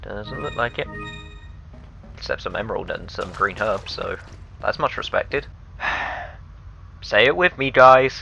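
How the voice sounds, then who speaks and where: Over background music, a man talks at a fairly slow pace with long, frequent pauses. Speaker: let's play gamer. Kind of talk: game commentary. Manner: low-energy.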